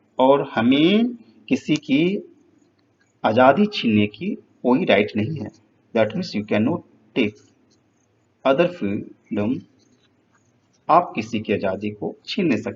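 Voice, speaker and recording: A man speaks in a somewhat breathy voice, his pitch swinging very widely. He leaves long, frequent pauses. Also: medium pitch for a man. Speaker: teacher. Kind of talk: lecture.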